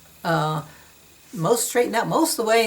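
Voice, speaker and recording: A woman talks fairly quickly, her intonation lively, while noticeable background noise fills the recording. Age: 60s. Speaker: yoga and massage educator. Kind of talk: informal talk to camera. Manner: casual, hesitant with fillers.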